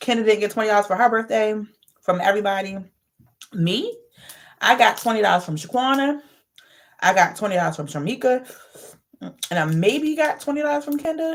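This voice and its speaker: A loud woman speaks at a fairly quick pace in a fairly high pitch with very wide pitch swings and long, frequent pauses. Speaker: vlogger. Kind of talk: casual vlog monologue. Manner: aggressive.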